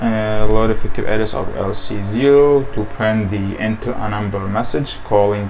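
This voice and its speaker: A man with a non-native accent, fairly even intonation, a moderate pace and hardly any pauses, plus light background noise. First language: Arabic. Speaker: programming tutor. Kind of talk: tutorial. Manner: halting, many fillers. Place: home room. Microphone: low quality microphone.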